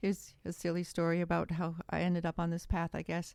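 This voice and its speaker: In an Upper Midwest accent, a woman speaks at a moderate pace in a dry, close recording with no echo. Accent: Upper Midwest American. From Wisconsin, US Midwest. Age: 60s. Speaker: author and former attorney. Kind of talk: podcast interview, personal testimony.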